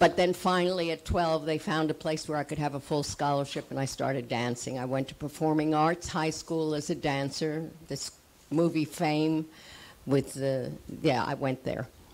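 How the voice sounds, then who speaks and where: A woman in a New York accent with very deep, low pitch and fairly even intonation. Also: moderate pace. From US Northeast, New York City (Manhattan). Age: 80s+. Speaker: actress and acting teacher. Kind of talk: panel talk.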